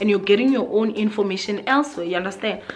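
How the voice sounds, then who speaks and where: A woman's fairly high voice at a fairly quick pace, with music in the background. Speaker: YouTuber. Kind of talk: vlog monologue. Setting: sitting on the floor at home. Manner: loud; animated.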